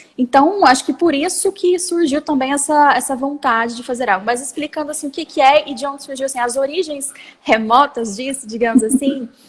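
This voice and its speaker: With hardly any pauses, a woman talks at a fairly quick pace and a high pitch, with ordinary pitch variation. Noticeable background noise is present. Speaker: lawyer and startup founder. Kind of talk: interview. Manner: fast.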